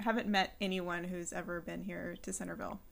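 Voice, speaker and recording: A woman with an American accent and vocal fry, at a moderate pace. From California, San Luis Obispo. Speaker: podcast host and personal trainer. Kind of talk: interview.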